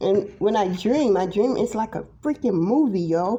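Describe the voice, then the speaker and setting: A woman's voice at a medium pitch rises and falls in a lively way, with noticeable noise behind it. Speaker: tarot reader. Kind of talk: casual monologue vlog.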